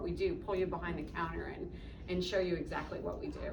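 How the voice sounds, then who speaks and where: Talking at a fairly quick pace, a woman with an American accent is heard over noticeable background noise and audible room echo. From upstate New York, small town. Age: 60s. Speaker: coffee shop owner. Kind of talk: interview with students. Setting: classroom.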